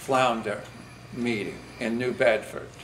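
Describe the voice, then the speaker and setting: A man talks fairly slowly, the room's echo audible and background noise noticeable. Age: 60s. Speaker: commercial fishing vessel owner. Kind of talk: public comment at meeting. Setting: public meeting with senators. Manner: halting, many fillers.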